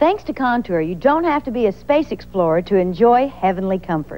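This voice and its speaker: A woman talks at a moderate pace with a fairly high pitch and very wide swings in her pitch. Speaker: infomercial presenter. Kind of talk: TV commercial read. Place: studio.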